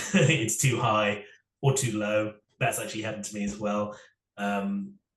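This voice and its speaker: A man's fairly low voice at a moderate pace, with ordinary pitch variation and audible room echo. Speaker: singer-songwriter. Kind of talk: interview. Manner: halting, many repetitions.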